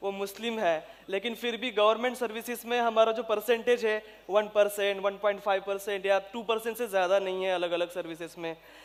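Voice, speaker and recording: The intonation holds fairly even. It's a man who speaks. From Maharashtra, India (Jalna district, rural). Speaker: civil servant. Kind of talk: motivational speech.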